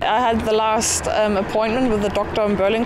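A woman talks at a moderate pace. The sound is dry with no echo, though there is noticeable background noise. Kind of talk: interview answer. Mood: cheerful, relaxed. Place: street.

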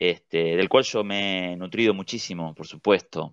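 Against a quiet background, a man with a Rioplatense accent speaks fairly slowly, his pitch fairly low and his intonation fairly even. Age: 30s. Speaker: writer and editor. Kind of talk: interview.

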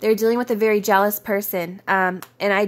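Her intonation monotone and flat, a woman speaks at a moderate pace. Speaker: tarot reader. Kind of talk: tarot reading video. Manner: chatty, informal.

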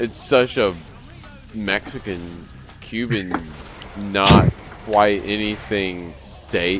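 Speaking at a very slow pace with long, frequent pauses, a man with an American accent talks over music in the background. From US South, Alabama. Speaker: gaming YouTuber. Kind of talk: casual gameplay commentary. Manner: animated.

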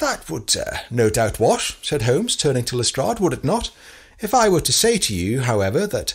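What we hear is plain reading aloud.

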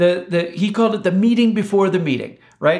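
Ordinary pitch variation against a quiet background. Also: man. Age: 50s. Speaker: host. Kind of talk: scripted narration; interview. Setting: video call. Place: home room.

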